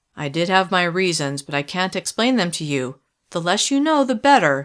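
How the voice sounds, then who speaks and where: On a very clean recording with a silent background, a woman performs a put-on character voice at a fairly low pitch, with very wide pitch swings and a moderate pace. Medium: read story. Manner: tense, low and controlled.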